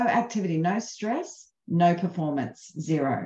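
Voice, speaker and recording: A woman speaks very slowly in a dark, mellow, somewhat breathy voice. Room echo is audible, though the background is quiet. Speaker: presenter or coach. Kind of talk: webinar talk.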